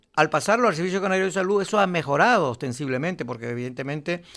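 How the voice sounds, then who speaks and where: Very clean and set against a silent background, the recording captures a man speaking with lively intonation. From Canary Islands, Lanzarote. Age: 60s. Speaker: political analyst. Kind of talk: radio interview.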